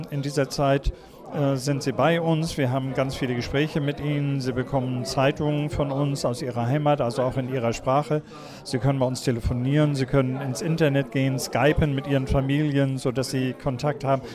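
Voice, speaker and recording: Through noticeable background noise, a man with a fairly high pitch speaks at a fairly quick pace in a monotone, flat intonation. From Kiel, northern Germany. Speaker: seamen's mission deacon. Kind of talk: interview.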